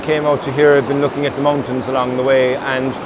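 A man speaks with noticeable background noise. The sound is dry, with no echo. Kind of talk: casual vlog chat. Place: waterside.

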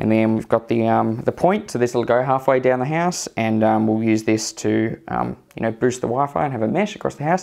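A man speaks with an Australian accent at medium pitch and a moderate pace. He takes hardly any pauses, and the background is quiet. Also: lively intonation. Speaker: tech youtuber; tech reviewer. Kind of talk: tutorial; casual unboxing commentary. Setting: at home, walking around the house. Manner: casual, hesitant with many fillers. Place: home room.

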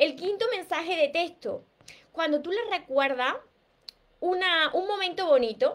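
A woman with a strong Andalusian accent, at a fairly slow pace. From Andalusia, Spain. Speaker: relationship coach. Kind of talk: live stream talk. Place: home room. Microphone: webcam.

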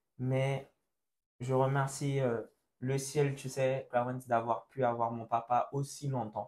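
This man speaks at a very slow pace, his medium-pitched voice flat and monotone. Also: long, frequent pauses. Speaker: church youth podcast host. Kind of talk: casual chat. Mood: emotional, talking about loss. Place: studio. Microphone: lapel.

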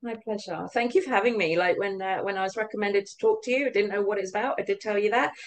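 Speaking very fast with hardly any pauses, a woman with a British accent keeps a medium pitch and fairly even intonation while her loudness swings widely over light background noise. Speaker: business owner; interviewee. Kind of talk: interview. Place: office. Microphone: webcam.

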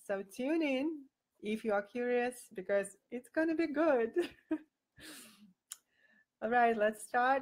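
A woman with a non-native accent speaks at a very slow pace and a high pitch. Her pitch variation is ordinary, and the background is quiet. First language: not English. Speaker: boudoir photographer. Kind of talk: live video talk to camera. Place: home room. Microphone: webcam.

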